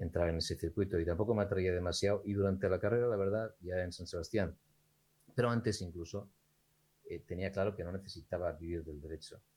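A very deep, low-pitched man's voice, somewhat breathy, very fast, with fairly even intonation on a very clean recording with a silent background. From Spain, raised partly in Gijón, Asturias. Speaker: entrepreneur and lawyer. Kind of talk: interview conversation.

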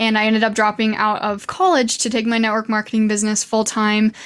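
In an American accent, a woman has an unremarkable speaking voice, a fairly high pitch and a fairly quick pace, on a very clean recording with a silent background. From Idaho. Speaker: social media coach. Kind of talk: interview.

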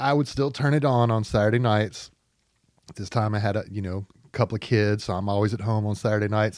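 Recorded very cleanly against a silent background, a man speaks fairly quickly at a fairly low pitch with fairly even intonation. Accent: Southern US. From Arkansas, Pine Bluff. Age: 40s. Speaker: writer for a political publication. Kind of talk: casual chat. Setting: studio.

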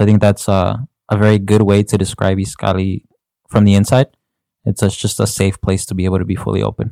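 At a very fast pace, a man with a fairly low pitch and a dark, mellow tone speaks in a flat monotone, his dry, close sound free of echo on a very clean recording with a silent background. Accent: Chicago. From Chicago. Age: 20s. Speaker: youth ministry volunteer. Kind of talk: podcast conversation.

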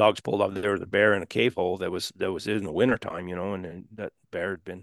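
At a very fast pace, a man with a very deep, low pitch speaks with ordinary pitch variation over a quiet background. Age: 60s. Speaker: lion hunter and houndsman. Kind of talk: casual chat. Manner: halting.

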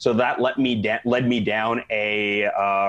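A man with a Canadian accent speaks in a monotone, with flat intonation. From Canada, Saskatoon. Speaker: chiropractor. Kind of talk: casual chat. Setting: in person.

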